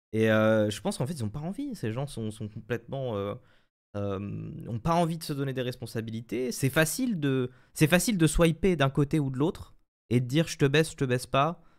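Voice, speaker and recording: Lively intonation from a man at a moderate pace, with a quiet background. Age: 20s. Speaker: streamer guest; guest. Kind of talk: casual live-stream chat. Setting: video call via webcam. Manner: hesitant, many fillers and repetitions. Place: home room. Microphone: studio mic.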